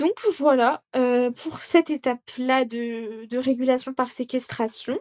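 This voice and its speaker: A woman's high voice at a very slow pace, with ordinary pitch variation and a dry, close sound with no echo. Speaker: student tutor. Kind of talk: tutorial. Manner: animated.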